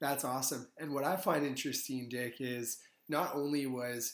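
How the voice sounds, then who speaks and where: A man's ordinary speaking voice at medium pitch and a fairly quick pace. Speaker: podcast host. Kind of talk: podcast interview host.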